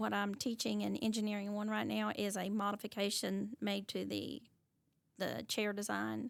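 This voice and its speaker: A woman with an Appalachian accent speaks at a moderate pace and very even loudness. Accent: Appalachian US Southern. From Eastern Kentucky, Pike County. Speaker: teacher. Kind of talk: interview.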